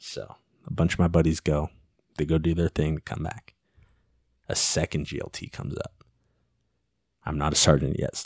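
This man speaks at a moderate pace in a very deep, low voice with vocal fry and fairly even intonation. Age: 20s. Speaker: MMA fighter and police officer. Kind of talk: casual chat.

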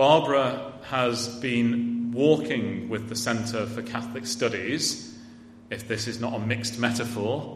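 A man speaks at a very slow pace in a medium pitch, with music playing in the background. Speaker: university event host. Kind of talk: formal introduction. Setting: lecture hall with audience.

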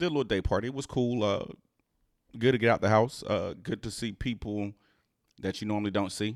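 Using ordinary pitch variation in a medium pitch, a man talks at a fairly quick pace but leaves long, frequent pauses. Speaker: podcast host. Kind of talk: casual chat.

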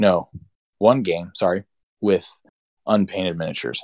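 A man with a Pennsylvania accent, fairly low-pitched, at a moderate pace, the sound dry and close with no echo. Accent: Pennsylvania American. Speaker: podcast co-host. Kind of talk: casual chat.

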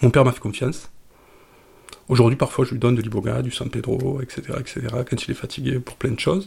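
A man at a fairly quick pace with vocal fry, fairly even intonation, and long, frequent pauses. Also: medium pitch for a man. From southern France, Marseille suburbs. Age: 50s. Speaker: psychedelic drug user. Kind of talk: personal testimony. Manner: halting, repeats words.

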